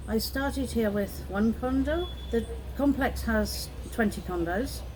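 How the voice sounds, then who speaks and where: In a British accent, a woman talks at a fairly slow pace with very even loudness, and audible room echo surrounds her voice. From UK. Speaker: condo business owner. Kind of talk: interview conversation.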